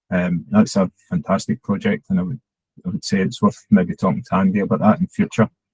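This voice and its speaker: In a Scottish accent, a man talks at a fairly quick pace in a dry, close recording with no echo. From Scotland. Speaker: head of digital at a charity. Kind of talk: conference talk.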